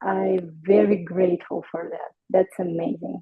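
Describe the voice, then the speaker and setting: A woman is speaking. She has a non-native accent. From Ukraine. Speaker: hairstylist. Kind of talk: interview. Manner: halting.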